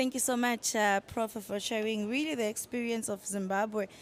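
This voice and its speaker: On a very clean recording with a silent background, a woman speaks in a fairly high pitch with a Zulu accent. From South Africa. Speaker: panel moderator. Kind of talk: panel moderation. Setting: conference side event with audience.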